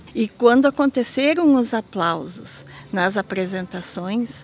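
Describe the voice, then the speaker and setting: A woman with a fairly high pitch talks at a very slow pace. Noticeable background noise runs behind her. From German-descended community, Rio Grande do Sul. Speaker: folklore festival interviewee. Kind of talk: documentary interview. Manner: hesitant, many fillers.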